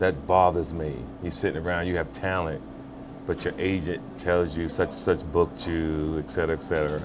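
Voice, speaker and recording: A man's very deep, low voice at a fairly quick pace, fairly even in intonation, with music in the background. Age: 60s. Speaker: actor and film producer. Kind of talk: casual interview. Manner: hesitant with many fillers.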